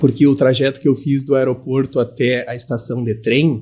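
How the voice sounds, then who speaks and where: A man's somewhat breathy, dark and mellow voice in a monotone, flat delivery. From southern Brazil, Santa Maria, Rio Grande do Sul. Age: 40s. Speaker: professor. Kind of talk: interview.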